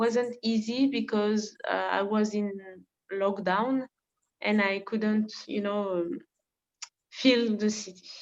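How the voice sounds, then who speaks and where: A woman speaks with a French accent at a very slow pace, her pitch fairly high and her intonation fairly even. Long pauses come often. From France, Paris. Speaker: volunteer. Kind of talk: presentation. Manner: halting.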